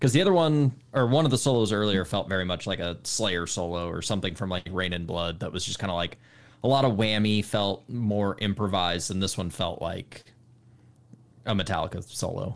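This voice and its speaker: A man with a normal speaking voice talks at a fairly quick pace in a fairly low pitch, with ordinary pitch variation against a quiet background. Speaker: podcast host. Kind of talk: casual chat. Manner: casual, conversational.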